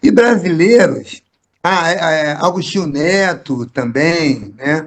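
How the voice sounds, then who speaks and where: Speaking at a very slow pace, a man with a fairly high voice makes very wide swings in pitch. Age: 60s. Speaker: poet, actor and theatre director. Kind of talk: interview. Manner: halting, with repetitions.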